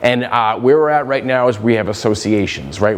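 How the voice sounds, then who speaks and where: A man talks very fast at a medium pitch with ordinary pitch variation. Noticeable background noise is present. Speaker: economics researcher. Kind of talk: conference presentation. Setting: conference talk to an audience.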